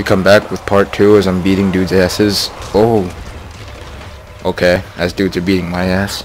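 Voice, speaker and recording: A man with a very deep, low voice speaks at a moderate pace, his intonation flat and monotone. Long pauses come often, and background noise is noticeable. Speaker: gamer. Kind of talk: casual gameplay commentary.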